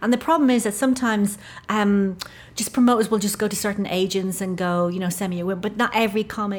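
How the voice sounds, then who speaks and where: A somewhat breathy woman's voice in an Irish accent, very fast, with fairly even intonation. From Ireland. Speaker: stand-up comedian and novelist. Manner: low-energy, soft-spoken.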